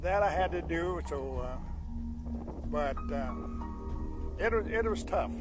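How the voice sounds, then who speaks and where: Over clear background music, a man talks at a fairly slow pace with long, frequent pauses, the sound dry with no echo. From South Dakota, Crow Creek Reservation. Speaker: cattle rancher. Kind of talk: oral history storytelling. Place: waterside.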